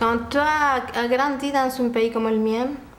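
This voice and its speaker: A woman's very slow, monotone, flat delivery with an Argentine accent and audible room echo. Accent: Argentine Spanish accent in Quebec French. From Argentina. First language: Spanish (speaking French). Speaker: dance teacher and school owner. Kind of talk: interview.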